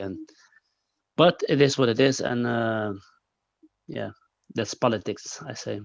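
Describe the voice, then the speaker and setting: Against a quiet background, a man with a Dutch accent talks at a moderate pace. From Netherlands. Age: 30s. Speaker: kickboxer. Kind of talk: interview. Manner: halting, many fillers and repeats.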